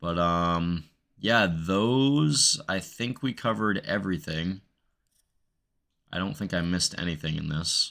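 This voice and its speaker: A man with a very deep, low pitch and a bright, sharp tone speaks at a fairly slow pace with long, frequent pauses. His intonation is lively, and the recording is very clean with a silent background. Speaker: gaming YouTuber and streamer. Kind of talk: gameplay settings tutorial. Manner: casual, filler-heavy; stutters in outros.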